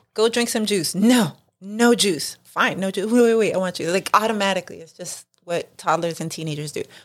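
In a New York accent, a woman talks at a fairly quick pace with ordinary pitch variation and big swings in loudness. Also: medium pitch for a woman. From New York City (Lower East Side). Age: 40s. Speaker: mother, friend of host. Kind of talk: casual chat.

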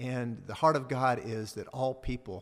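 His voice sits at a medium pitch, and the man's pitch varies in an ordinary way. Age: 50s. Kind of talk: interview.

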